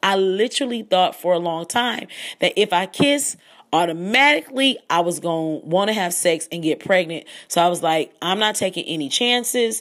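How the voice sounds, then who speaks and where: Animated and with very wide pitch swings, a woman talks at medium pitch and a moderate pace. The recording is very clean, with a silent background. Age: 30s. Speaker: podcast host.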